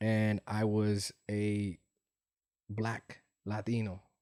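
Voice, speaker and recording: In a Spanish accent, a man speaks flatly and monotonously with a dark, mellow tone at a fairly low pitch, the sound dry and close with no echo. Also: long, frequent pauses. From US West Coast, San Francisco Bay Area. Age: 40s. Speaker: entrepreneur. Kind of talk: interview conversation.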